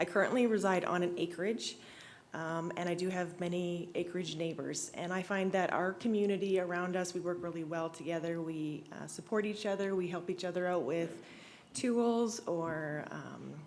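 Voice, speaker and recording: A woman with an Albertan accent speaks in a nervous, shaky voice at a moderate pace, her fairly low pitch held to a fairly even intonation amid audible room echo. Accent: Canadian (Alberta). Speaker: real estate agent speaking at public hearing. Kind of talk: public hearing statement. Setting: council chamber, public hearing. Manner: shaky, nervous.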